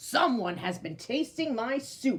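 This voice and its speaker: In a put-on character voice, a woman bellows loudly and growls at a high pitch. She goes at a fairly slow pace. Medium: read story. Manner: loud, roaring.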